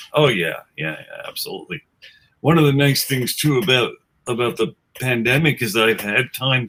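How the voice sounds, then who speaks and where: With an American accent, a man speaks at medium pitch in a bright, sharp tone. His intonation is lively, and vocal fry creeps in. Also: moderate pace. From New York City, Queens. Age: 60s. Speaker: musician, guitarist in a tribute band. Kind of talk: casual chat. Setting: webcast.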